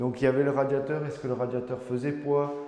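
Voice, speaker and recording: Through noticeable background noise and audible room echo, a man of medium pitch speaks in a monotone, flat intonation. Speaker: home renovation vlogger. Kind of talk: casual renovation walkthrough. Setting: empty room in a house under renovation. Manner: loud; hesitant, many fillers.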